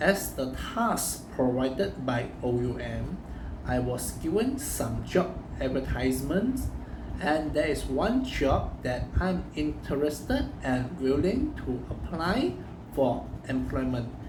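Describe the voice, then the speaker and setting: The speaker talks at a very slow pace with a Chinese accent, amid noticeable background noise and audible room echo. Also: man. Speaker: university student. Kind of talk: recorded assignment presentation. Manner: halting.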